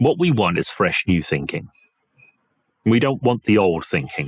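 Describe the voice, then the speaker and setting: A man's voice with very wide pitch swings, dry and close with no echo, in a very clean recording with a silent background. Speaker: changework coach and hypnotist. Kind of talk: casual chat. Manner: fast.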